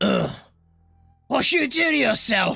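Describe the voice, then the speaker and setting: Someone puts on a raspy character voice at a fairly high pitch, with faint music playing in the background. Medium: actual play. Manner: gruff, unimpressed.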